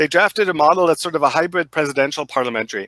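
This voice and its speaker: In a very clean, silent recording with a dry, close sound and no echo, a man with a bright, sharp tone speaks at fairly high pitch with ordinary variation. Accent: German. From Germany. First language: German. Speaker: professor. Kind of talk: interview. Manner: halting.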